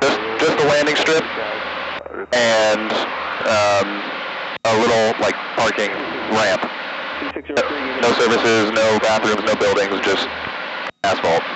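Loud background noise surrounds a man speaking at a fairly slow pace. He leaves long, frequent pauses, and his pitch varies in an ordinary way. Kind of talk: casual vlog chat. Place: plane. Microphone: headset.

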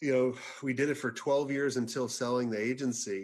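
A man talks at a moderate pace, with only quiet in the background. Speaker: podcast guest. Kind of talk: interview answer. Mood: relaxed, lightly humorous. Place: home room. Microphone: video call.

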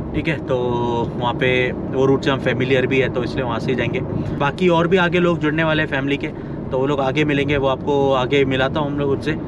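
Loud background noise, dry sound with no echo, and a man at a moderate pace. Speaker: travel vlogger. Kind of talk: casual vlog chat. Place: car. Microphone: phone near.

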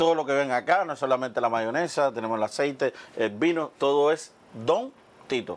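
A man talks at a fairly quick pace and a fairly high pitch, with ordinary pitch variation. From Cuba, Oriente (eastern Cuba), countryside. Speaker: cooking show host. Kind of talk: casual cooking show chat. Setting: studio kitchen. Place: studio. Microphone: lapel.

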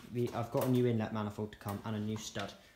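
Delivery is very fast, with monotone, flat intonation. Audible room echo and light background noise are present. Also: man. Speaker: home mechanic restoring a tractor. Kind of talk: tutorial. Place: workshop. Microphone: phone near.

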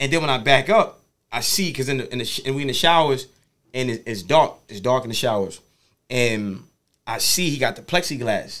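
Over a quiet background, a man with a medium pitch talks at a fairly quick pace with lively intonation and long, frequent pauses. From New York City (Harlem); New York. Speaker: motivational speaker. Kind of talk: casual interview. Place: studio. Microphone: studio mic.

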